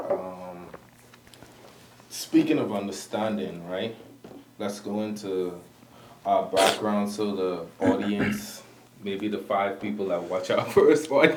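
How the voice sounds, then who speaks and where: A man with a Bahamian accent at a fairly low pitch and very slow pace, with ordinary pitch variation, long, frequent pauses, audible room echo and noticeable background noise. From Bahamas. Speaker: podcast co-host. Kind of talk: casual chat.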